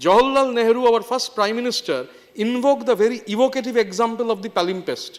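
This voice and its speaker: A man with an extremely high pitch and a Bengali accent, at a very fast pace with fairly even intonation. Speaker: member of parliament. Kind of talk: parliamentary speech. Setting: parliament chamber. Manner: formal.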